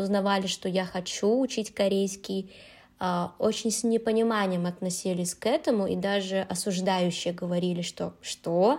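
On a very clean recording with a silent background, a woman speaks in an ordinary speaking voice at medium pitch and a fairly slow pace, with ordinary pitch variation. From Uzbekistan, Tashkent. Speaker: Korean language teacher. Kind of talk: casual chat.

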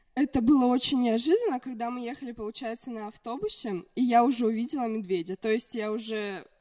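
A woman with a normal speaking voice and a fairly high pitch talks fairly quickly, with ordinary pitch variation and big swings in loudness. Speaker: podcast guest. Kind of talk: casual chat.

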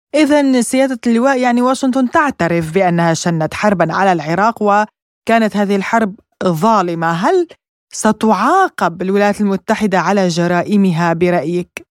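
This woman has a plain, everyday voice at a medium pitch with lively intonation, speaking at a fairly slow pace with hardly any pauses. The sound is dry and close, with no echo. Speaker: radio news host. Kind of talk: news reading. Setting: studio.

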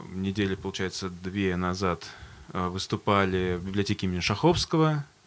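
A man speaks at a fairly low pitch and a moderate pace. He has a plain, everyday voice. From Astrakhan, Russia. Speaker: band vocalist. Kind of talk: casual interview chat. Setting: studio.

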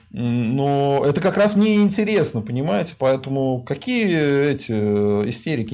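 The man's voice is fairly high, with a dark, mellow tone. His pitch swings very widely. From Volga region, Russia. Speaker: sociologist hosting a stream. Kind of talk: casual live-stream interview.

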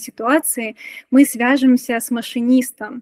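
The woman's high voice has fairly even intonation and a dry, close sound with no echo. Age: 30s. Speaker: UX/UI designer. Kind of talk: casual chat.

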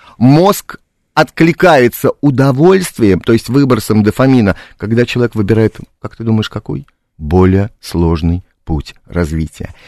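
The recording is very clean and dry, close-miked with a silent background and no echo. A man at a medium pitch speaks fairly slowly, his pitch swinging very widely. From Białystok, Poland. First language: Polish (speaking Russian). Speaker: playwright and theatre director. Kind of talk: radio interview. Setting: radio studio.

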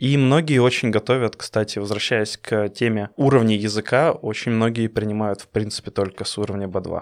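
A man with a normal speaking voice talks at a fairly low pitch and moderate pace, with fairly even intonation. His loudness swings widely on a very clean recording with a silent background. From Russia. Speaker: podcast co-host. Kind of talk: casual chat.

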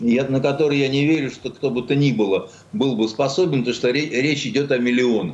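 With a normal speaking voice, a man talks at a fairly quick pace and medium pitch, showing ordinary pitch variation. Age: 60s. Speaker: writer and journalist. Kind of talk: radio talk show interview.

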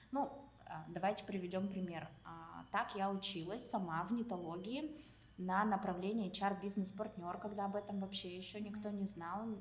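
A woman speaks in a medium pitch with long, frequent pauses. Audible room echo surrounds her voice. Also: ordinary pitch variation, moderate pace. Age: 30s. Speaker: IT company director and career consultant. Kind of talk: casual interview. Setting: recording at a university building.

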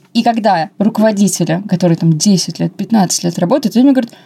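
The woman's voice sits at a medium pitch. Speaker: podcast co-host, customer service specialist. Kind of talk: casual chat. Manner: mumbling. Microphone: wrongly assembled mic, muffled sound.

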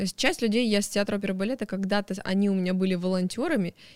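A woman with a medium-pitched voice talks very fast. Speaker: deputy museum director. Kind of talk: interview. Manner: talkative, energetic; animated.

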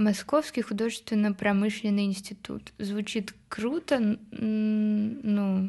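A woman talks very slowly with hardly any pauses, her voice somewhat breathy and dark and mellow in tone. Her pitch sits fairly high, and her intonation stays fairly even. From Moscow, Russia. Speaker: indie pop musician. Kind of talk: casual interview chat.

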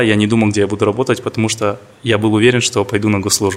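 A man talks at a very fast pace. His fairly low pitch stays in monotone, flat intonation. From Kazakhstan, Karaganda. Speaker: corporate lawyer. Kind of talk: interview.

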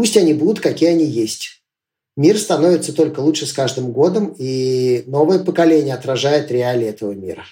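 With lively intonation and a somewhat breathy, dark, mellow tone, a man speaks at a moderate pace in a fairly high pitch. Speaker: entrepreneur and school teacher. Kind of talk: casual interview.

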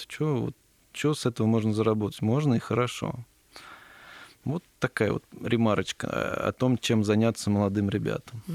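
A man has an unremarkable speaking voice at a medium pitch with ordinary pitch variation and a moderate pace. The sound is dry and close, with no echo. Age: 30s. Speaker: entrepreneur, company founder. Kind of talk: casual interview. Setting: studio.

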